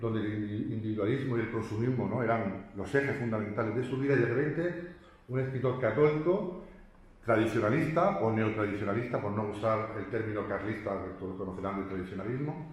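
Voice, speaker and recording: The voice has ordinary pitch variation, with audible room echo and noticeable background noise in the recording. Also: man. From Spain, Murcia. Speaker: professor. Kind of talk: lecture. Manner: fast; halting, with repetitions.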